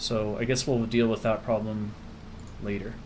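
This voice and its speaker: A quiet man at medium pitch and moderate pace, with audible room echo. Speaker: gaming video creator. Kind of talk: let's play commentary. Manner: quiet, keeping voice down; casual, conversational.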